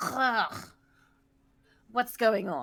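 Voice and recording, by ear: A woman uses a put-on character voice at fairly high pitch, speaking very slowly with a bright, sharp tone, vocal fry and big pitch swings.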